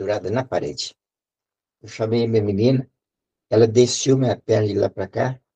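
Somewhat breathy and dark, mellow in tone, a man talks at a fairly quick pace with long, frequent pauses, in a dry, close sound with no echo. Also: medium pitch for a man. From Brazil, Espírito Santo. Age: 80s+. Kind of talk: testimony. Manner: halting.

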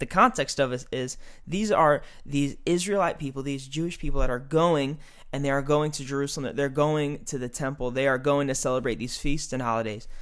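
An unremarkable speaking voice from a man, at a fairly quick pace with ordinary pitch variation. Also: fairly high pitch for a man. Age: 20s. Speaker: youth pastor. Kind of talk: casual interview.

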